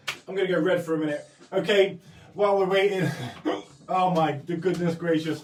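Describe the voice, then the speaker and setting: A man speaks in a high pitch with a monotone, flat delivery at a fairly quick pace. Long, frequent pauses break his speech, and noticeable background noise runs underneath. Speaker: art tutorial streamer. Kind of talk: tutorial. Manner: halting.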